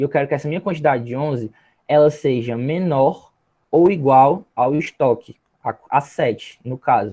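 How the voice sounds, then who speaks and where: At a moderate pace, a man with a fairly high pitch and a dark, mellow tone talks with ordinary pitch variation. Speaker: minicourse instructor. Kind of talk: tutorial.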